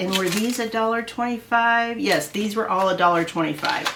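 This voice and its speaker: Fairly high-pitched woman in a Midwestern US accent, moderate pace. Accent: US Midwest. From Iowa. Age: 60s. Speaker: haul video creator. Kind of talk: casual haul vlog. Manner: chatty, hesitant with fillers.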